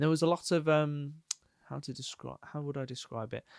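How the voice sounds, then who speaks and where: The speaker has a Brummie accent and talks at a moderate pace with fairly even intonation. The sound is dry and close, with no echo. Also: man. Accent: Birmingham (Brummie) twang. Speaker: podcast co-host, freelancer. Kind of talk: casual chat.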